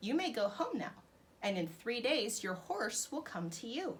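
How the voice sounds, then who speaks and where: Someone performs in an exaggerated character voice. The delivery is neither rushed nor slow. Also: woman, fairly high pitch for a woman. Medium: read story. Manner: calm, assured.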